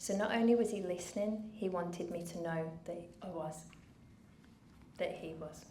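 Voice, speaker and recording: With a Brummie accent and a fairly low pitch, a woman speaks at a moderate pace with fairly even intonation and long, frequent pauses, with audible room echo. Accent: Birmingham (Brummie). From England, Birmingham. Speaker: charity founder. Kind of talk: speech to an audience. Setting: stage with audience.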